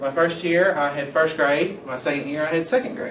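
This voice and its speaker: With an American accent, a man with a fairly high pitch is heard amid audible room echo and noticeable background noise. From Kentucky, Winchester. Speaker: education student. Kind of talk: personal introduction video.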